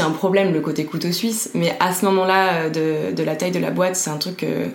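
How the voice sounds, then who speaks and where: With audible room echo, a woman's fairly low voice moves at a moderate pace and fairly even intonation. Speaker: HR manager at a startup. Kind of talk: interview.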